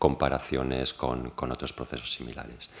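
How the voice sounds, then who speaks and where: Full of vocal fry, a man speaks with a very deep, low pitch. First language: Spanish. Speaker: seminar moderator. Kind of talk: formal introduction.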